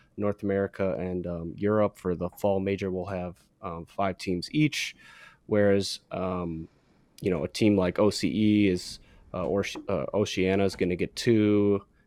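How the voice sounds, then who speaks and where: An unremarkable speaking voice at a moderate pace. The sound is dry and close with no echo, on a very clean recording with a silent background. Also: man. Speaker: podcaster and content creator. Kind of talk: casual chat.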